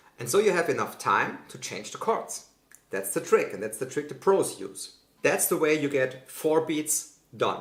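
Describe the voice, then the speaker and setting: Fairly high male voice with a slight German accent, a moderate pace and very wide pitch swings. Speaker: guitar teacher. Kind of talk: tutorial.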